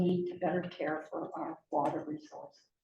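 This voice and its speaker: Audible room echo surrounds a woman. She talks at a moderate pace. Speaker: biologist and conservation board member. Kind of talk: public lecture. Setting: public talk with live audience. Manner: naturally soft, not a projector. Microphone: too quiet for the room.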